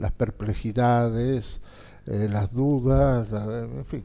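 A man speaks in a dark, mellow tone with ordinary variation in pitch. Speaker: writer and diplomat. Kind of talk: interview. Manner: halting.

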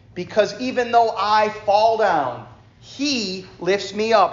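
Very slow speech with audible room echo. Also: man. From New York. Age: 40s. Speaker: preacher. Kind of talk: fervent church sermon, exhorting a responsive congregation that answers back with amens. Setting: church service. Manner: warm and conversational, with self-deprecating asides; emphatic, rhythmic preaching cadence with repeated phrases, building up intensity.

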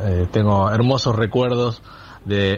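A man with a plain, everyday voice speaks at a fairly slow pace, his fairly low pitch held in fairly even intonation. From Olavarría, Buenos Aires province. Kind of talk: recorded message.

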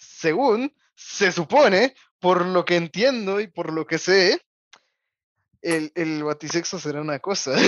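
Someone speaks at a very slow pace with a Mexican accent. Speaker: podcast co-host. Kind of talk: casual chat.

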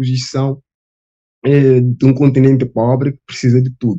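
This man has a dark, mellow tone at medium pitch. The sound is dry and close, with no echo. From Guinea-Bissau. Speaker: social work student. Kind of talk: panel discussion.

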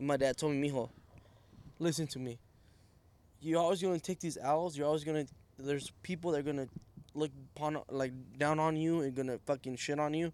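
With a Spanish accent and fairly high pitch, a man speaks at a fairly quick pace with fairly even intonation and long, frequent pauses in a very clean recording with a silent background. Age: 20s. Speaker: guest, family business owner. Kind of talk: casual chat.

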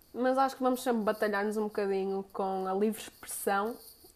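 A woman speaks with fairly even intonation at a medium pitch. It is an unremarkable speaking voice. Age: 20s. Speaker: podcaster. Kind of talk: solo monologue podcast.

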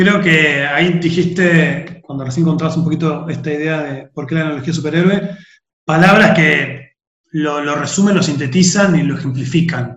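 Audible room echo around a man's fairly high-pitched voice, his intonation fairly even. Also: moderate pace. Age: 30s. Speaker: podcast host, philosophy teacher. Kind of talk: casual chat.

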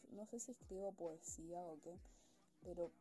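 Her voice is fairly low with a dark, mellow tone, and this woman speaks at a fairly slow pace with ordinary pitch variation. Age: 20s. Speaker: student. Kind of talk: casual monologue. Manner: chatty, informal.

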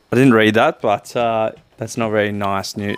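A man with an Australian accent and a medium pitch. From Coffs Harbour, New South Wales, Australia. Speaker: podcast co-host. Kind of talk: casual chat. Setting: on a couch at home.

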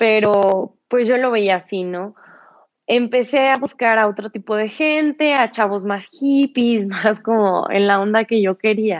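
Here is a woman with an unremarkable speaking voice, pitched fairly high. She talks at a fairly slow pace with ordinary pitch variation. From Mexico, San Luis Potosí. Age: 20s. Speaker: yoga teacher in addiction recovery. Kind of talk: personal testimony. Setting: live stream.

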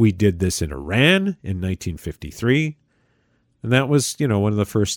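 A man with an American accent talks at a fairly quick pace and a fairly low pitch, with lively intonation, in a plain, everyday voice. The recording is very clean, with a silent background and a dry, close sound with no echo. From United States. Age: 60s. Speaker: podcast host. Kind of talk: solo political commentary.

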